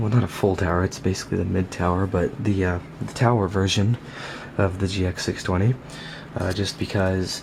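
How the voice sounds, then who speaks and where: Quiet and fairly low in pitch, a man talks at a moderate pace with fairly even intonation against noticeable background noise. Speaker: tech hobbyist vlogger. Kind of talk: casual vlog. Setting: at home at night. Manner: speaking low, quiet; hesitant, many fillers.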